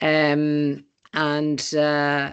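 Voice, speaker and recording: The background stays quiet. Against it, a woman talks in a very deep, low pitch. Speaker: webinar moderator. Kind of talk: panel moderation. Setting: video call. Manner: hesitant, many fillers.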